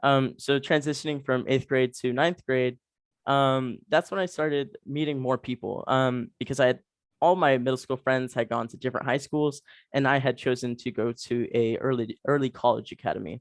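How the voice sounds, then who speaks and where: Moderate pace and fairly even intonation in an American accent, with a dry, close sound and no echo. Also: man, medium pitch for a man, quiet background. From Texas. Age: young. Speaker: university student. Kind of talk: interview. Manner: casual, hesitant with many fillers.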